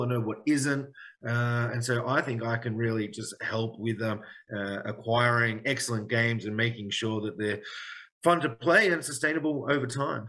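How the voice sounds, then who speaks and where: Speaking at a moderate pace in a medium pitch, a man with an Australian accent has a bright, sharp tone and ordinary pitch variation. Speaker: game studio head. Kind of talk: live Q&A session. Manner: hesitant, many fillers.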